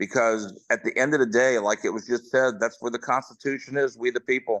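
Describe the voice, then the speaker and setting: A man speaks at a medium pitch with fairly even intonation. He has an American accent, and the background is quiet. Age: 60s. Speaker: political candidate. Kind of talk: candidate forum speech.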